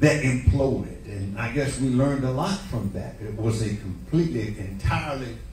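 A man talks at a fairly slow pace, with audible room echo and light background noise. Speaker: preacher. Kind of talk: sermon. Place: church.

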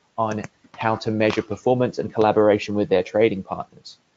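A man with an English accent speaks at a medium pitch with fairly even intonation. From England. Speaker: market research executive. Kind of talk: webinar presentation.

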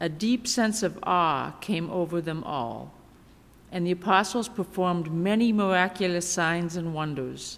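She talks at a fairly slow pace. The speaker is a woman with ordinary pitch variation. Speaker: seminary intern preacher. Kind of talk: scripture reading in sermon. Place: church. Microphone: podium.

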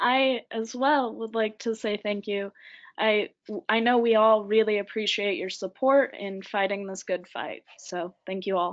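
An ordinary speaking voice with an American accent keeps a fairly even intonation. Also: woman, fairly high pitch for a woman. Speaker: youth council member, shelter worker. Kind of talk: webinar presentation. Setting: online webinar.

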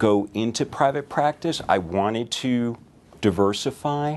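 With a medium pitch and lively intonation, a man speaks in an American accent. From Connecticut. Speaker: physician. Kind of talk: self-introduction to camera. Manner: conversational with frequent fillers. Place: office.

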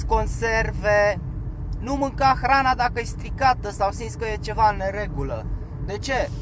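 A man speaks at a moderate pace, with noticeable background noise around him. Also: dry sound with no echo. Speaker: vlogger, former van driver; van driver vlogger giving advice. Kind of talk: casual vlog talk while driving. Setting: in a car. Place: car. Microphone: camera far.

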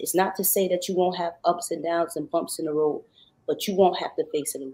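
A woman's dark, mellow tone at a fairly quick pace with fairly even intonation. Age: 40s. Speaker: R&B singer; guest. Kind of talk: radio interview. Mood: earnest, testimonial, faith-driven. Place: home room.

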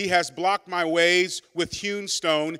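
A man speaks at a very slow pace with a high pitch and fairly even intonation. His tone is bright and sharp yet warm, over a quiet background. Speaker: pastor. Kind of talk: sermon. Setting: church. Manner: warm, earnest, conversational preacher. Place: church. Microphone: handheld.

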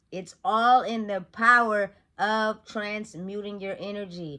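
With a quiet background, a woman in an American accent speaks at a very slow pace, her fairly high voice bright and sharp in tone. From Sacramento, California; California. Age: 30s. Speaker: motivational vlogger. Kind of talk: motivational monologue. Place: home room. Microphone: phone near.

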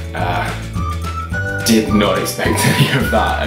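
A man talks with clear music in the background. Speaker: vlogger. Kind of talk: casual talk to camera. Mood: grateful, happy. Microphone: webcam.

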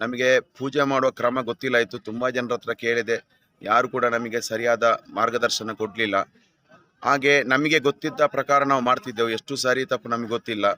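Dry and close with no echo, a man's voice has a bright, sharp tone, medium pitch, and monotone, flat intonation. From Dakshina Kannada, Karnataka (Puttur). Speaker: priest training camp participant. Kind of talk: interview testimonial.

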